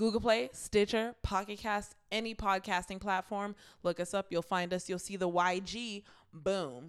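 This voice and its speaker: A woman speaks at a fairly slow pace in an ordinary speaking voice, with a medium pitch and ordinary pitch variation. The recording is very clean, with a silent background. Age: 20s. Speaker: podcast co-host. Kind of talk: casual chat.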